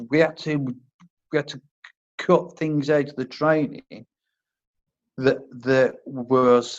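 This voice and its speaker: Speaking with a Worcestershire accent, a man uses a fairly high pitch and fairly even intonation. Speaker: army medic turned first aid instructor. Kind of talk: interview. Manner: halting, stammers on words.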